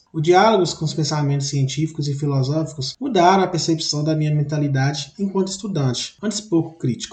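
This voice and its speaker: There is noticeable background noise behind this man. His pitch is fairly high, and he hardly pauses. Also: ordinary pitch variation. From Minas Gerais, Brazil. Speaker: university student. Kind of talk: reading of own autobiographical text.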